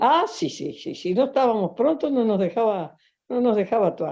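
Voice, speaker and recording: Against a quiet background, a speaker with a Uruguayan accent talks at a moderate pace in a dark, mellow tone with very wide pitch swings. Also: woman. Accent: Rioplatense Spanish (Uruguayan). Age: 70s. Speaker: folk dancer and dance teacher. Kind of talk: interview. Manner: halting, many fillers.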